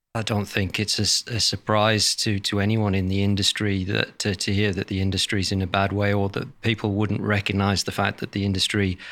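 With a British accent, a man delivers his words at a moderate pace in a fairly low, bright, sharp voice, his intonation monotone and flat, in a very clean recording with a silent background. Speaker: industry association chief executive. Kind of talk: interview.

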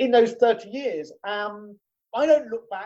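In a British accent, a man speaks at a moderate pace with a dark, mellow tone. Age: 50s. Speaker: business owner. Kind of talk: interview. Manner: halting.

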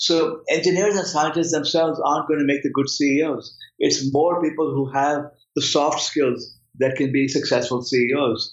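A man's unremarkable speaking voice, fairly high in pitch, with very even loudness, fairly even intonation and a moderate pace. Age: 50s. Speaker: professor. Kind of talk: interview.

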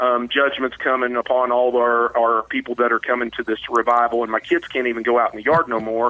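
A man with an Ozark accent, medium pitch and a fairly quick pace. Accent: Ozark Southern US. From southwest Missouri, Ozarks. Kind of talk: casual interview.

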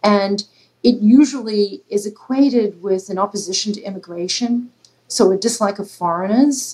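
Speaking at a moderate pace with an Australian accent, a woman has a dark, mellow tone, medium pitch and ordinary pitch variation. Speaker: political science professor. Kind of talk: interview.

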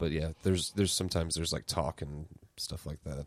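This speaker has an American accent and some vocal fry. The pace is fairly quick, with ordinary pitch variation. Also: man. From US Midwest. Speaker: DJ and podcast co-host. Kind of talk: casual chat.

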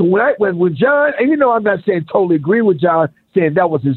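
A man's voice, high in pitch. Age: 50s. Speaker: caller, retired teacher and veteran. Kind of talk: radio call-in. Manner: animated, repetitive.

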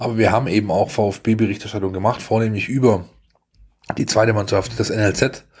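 Flat, monotone intonation from a man with a fairly low voice. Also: moderate pace. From Baden-Württemberg, near Stuttgart. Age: 40s. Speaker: sports journalist. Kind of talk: casual chat.

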